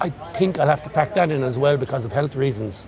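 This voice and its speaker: With an Irish accent, a man speaks at a moderate pace and ordinary pitch variation over noticeable background noise. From Galway, Ireland. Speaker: retired electrician. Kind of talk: interview answer.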